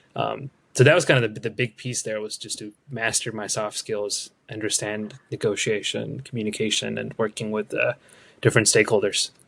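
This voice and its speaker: A man speaks at a fairly low pitch with vocal fry and fairly even intonation. His pace is moderate, with big swings in loudness. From India. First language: not English. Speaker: product manager. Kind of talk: interview.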